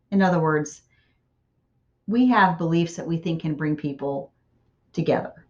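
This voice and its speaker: A woman talks at a moderate pace with a fairly low pitch. Hers is an unremarkable speaking voice. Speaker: college writing instructor. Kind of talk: recorded lecture.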